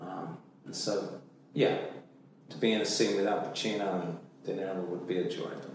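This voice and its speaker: A man's very deep, low voice at a moderate pace, with big swings in loudness and long, frequent pauses, amid noticeable background noise and audible room echo. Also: fairly even intonation. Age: 60s. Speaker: actor. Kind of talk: interview. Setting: studio. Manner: halting.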